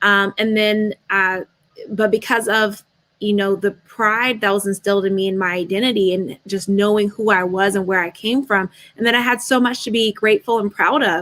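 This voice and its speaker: With an American accent and a normal speaking voice, a woman speaks at a moderate pace with medium pitch and fairly even intonation, the sound dry and close with no echo. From United States, Nigerian family. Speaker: panel guest, official. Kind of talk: panel discussion.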